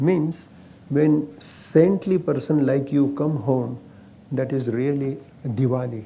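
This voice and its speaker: Someone with an Indian accent speaks at a very slow pace with ordinary pitch variation, over noticeable background noise. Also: man, fairly high pitch for a man. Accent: Marathi-accented Indian English. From Maharashtra, India. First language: Marathi. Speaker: ayurveda practitioner. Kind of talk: interview.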